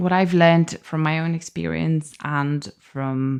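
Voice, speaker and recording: On a very clean recording with a silent background, a woman speaks with a non-native accent. Her pitch is fairly low and her pace fairly slow. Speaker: podcast host. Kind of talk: casual podcast talk.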